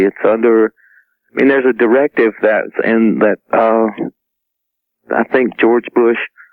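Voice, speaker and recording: This man speaks with a Southern US accent at medium pitch, with ordinary pitch variation and very even loudness. His pace is moderate, broken by long, frequent pauses. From US South, South Carolina. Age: 40s. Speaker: near-death experiencer, former Marine. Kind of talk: radio interview. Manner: halting.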